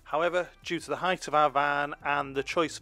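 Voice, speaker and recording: The sound is dry with no echo, and music plays in the background. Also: man. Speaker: travel vlogger narrator. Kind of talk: travel vlog narration.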